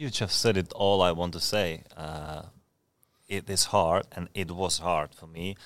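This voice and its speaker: A man with a Czech accent and very deep, low pitch at a fairly slow pace, on a very clean recording with a silent background. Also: ordinary pitch variation, big swings in loudness. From Czech Republic. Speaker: professional footballer, goalkeeper. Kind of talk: casual interview chat. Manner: halting, hesitant with fillers.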